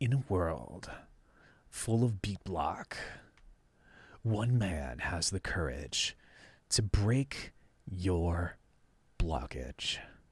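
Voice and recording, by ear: Using a put-on character voice, a man speaks very slowly with a dramatic tone, very deep, low pitch, very wide pitch swings, and long, frequent pauses.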